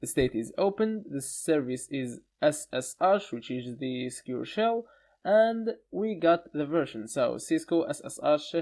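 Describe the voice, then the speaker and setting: A man with a non-native accent speaks fairly slowly at a high pitch, his pitch swinging very widely. The recording is very clean, with a silent background. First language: not English. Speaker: online course instructor. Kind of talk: tutorial. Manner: hesitant, many fillers.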